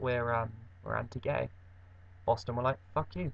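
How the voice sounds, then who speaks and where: An English accent with vocal fry, delivered at a moderate pace. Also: man. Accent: broad English. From England. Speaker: vlogger. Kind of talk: casual vlog monologue. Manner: rambling, halting with fillers.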